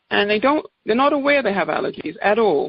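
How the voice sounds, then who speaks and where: With an English accent, a woman speaks using lively intonation. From England. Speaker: naturopathic doctor. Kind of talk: product presentation. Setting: conference call.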